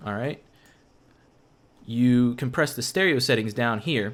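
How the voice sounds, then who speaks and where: A man with an ordinary speaking voice talks at a moderate pace with lively intonation and a medium pitch, captured in a very clean recording with a silent background. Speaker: game tutorial maker. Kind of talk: tutorial.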